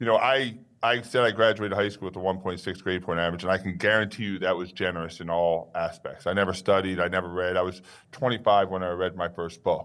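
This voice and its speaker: Talking very fast with a New York accent, a man speaks in a very deep, low pitch with fairly even intonation. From Long Island, New York, then Maryland. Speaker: author and business owner. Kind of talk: interview.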